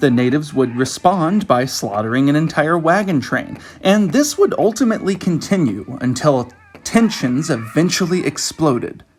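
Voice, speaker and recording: Speech at a moderate pace over music in the background. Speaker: hobby historian. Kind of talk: history narration.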